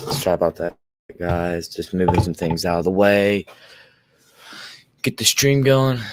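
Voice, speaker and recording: A man talks at a fairly slow pace with lively intonation and long, frequent pauses. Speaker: YouTube live streamer, reptile keeper. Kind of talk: casual live stream chat. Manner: usually loud. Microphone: new microphone, first time using it.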